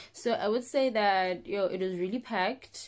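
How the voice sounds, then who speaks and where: A woman speaks with ordinary rises and falls in pitch, keeping to a moderate pace. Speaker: vlogger. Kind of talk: casual vlog chat. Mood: relaxed, cheerful. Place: home room. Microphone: phone near.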